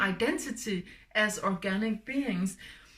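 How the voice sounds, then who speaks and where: Speaking very slowly with a Danish accent, a woman has a fairly high, somewhat breathy voice and ordinary pitch variation. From Denmark. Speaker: spiritual healer. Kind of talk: spiritual talk. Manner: halting.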